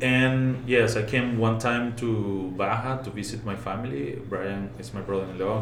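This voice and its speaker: With a Spanish accent, a man speaks at a moderate pace in a fairly low pitch with lively intonation. Noticeable background noise and audible room echo are present. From Venezuela. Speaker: brewer. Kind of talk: casual chat. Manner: halting.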